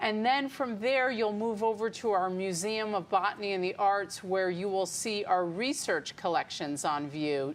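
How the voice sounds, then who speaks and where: A woman with an American accent speaks at a moderate pace, her pitch medium and its variation ordinary. She has an ordinary speaking voice and hardly any pauses. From New York suburbs, Westchester County. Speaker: botanical garden director. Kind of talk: interview.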